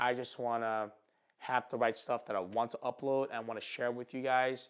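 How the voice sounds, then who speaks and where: A man with a Philadelphia accent speaks at a moderate pace and medium pitch. His intonation is monotone and flat, on a very clean recording with a silent background. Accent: Philadelphia American English. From Philadelphia, North Philly. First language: not English, immigrated at five. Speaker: photographer and YouTuber. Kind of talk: casual vlog monologue. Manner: halting, stutters and repeats.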